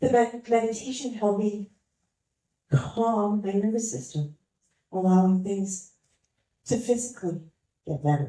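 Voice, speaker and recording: This woman's medium-pitched voice has a dark, mellow tone and is somewhat breathy. She talks at a fairly slow pace with lively intonation and long, frequent pauses. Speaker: motivational speaker. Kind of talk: motivational talk to a live audience.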